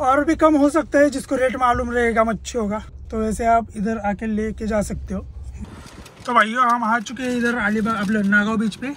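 Fairly even in intonation, a man speaks at an extremely high pitch in a fairly bright tone. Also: moderate pace.

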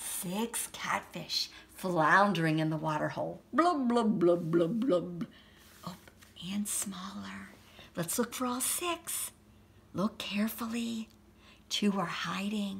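The speech moves at a very slow pace with ordinary pitch variation and long, frequent pauses. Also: woman. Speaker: story reader. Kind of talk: children's story read-aloud. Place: home room. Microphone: phone near.

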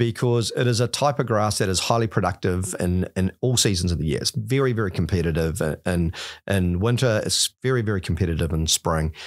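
A man at a fairly quick pace, with lively intonation. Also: quiet background. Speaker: guest. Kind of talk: podcast interview explanation. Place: studio. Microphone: studio mic.

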